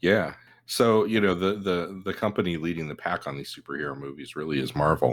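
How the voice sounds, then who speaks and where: A man with a very deep, low pitch and vocal fry talks at a fairly quick pace. His loudness swings widely, while his pitch variation stays ordinary. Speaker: podcast co-host. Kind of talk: casual chat. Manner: joking.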